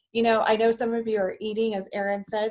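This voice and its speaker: Someone speaks at a fairly quick pace against a quiet background. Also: woman. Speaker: meeting host introducing speaker. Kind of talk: meeting introduction. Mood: warm, welcoming. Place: home room.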